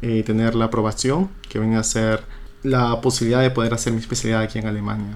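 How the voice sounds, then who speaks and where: Man with an ordinary speaking voice, medium pitch, fairly even intonation and a fairly quick pace. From Peru, Trujillo. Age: 20s. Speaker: doctor. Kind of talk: interview. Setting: radio studio.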